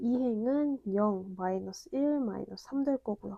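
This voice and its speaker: Over a dry, close sound with no echo, a woman with a fairly high pitch and a dark, mellow tone speaks with lively intonation. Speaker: math lecturer. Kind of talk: lecture.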